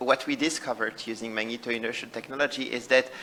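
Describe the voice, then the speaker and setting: There is noticeable background noise behind this man. He talks at a moderate pace with fairly even intonation. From Switzerland, Basel. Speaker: professor of pediatric neurology. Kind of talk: conference presentation. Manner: hesitant with fillers.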